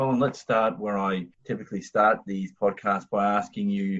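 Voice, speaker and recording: Quiet background behind a man with an Australian accent, moderate pace and lively intonation. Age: 40s. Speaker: podcast host. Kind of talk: podcast interview.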